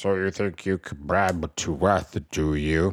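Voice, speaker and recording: In a very clean recording with a silent background, a man uses a put-on character voice. His pitch is very deep and low, and his pace fairly slow. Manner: mean.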